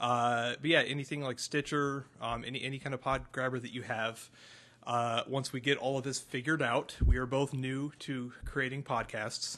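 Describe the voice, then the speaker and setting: Moving at a moderate pace, a man speaks in a bright, sharp tone with monotone, flat intonation. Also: medium pitch for a man. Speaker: podcast co-host. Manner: playful, joking.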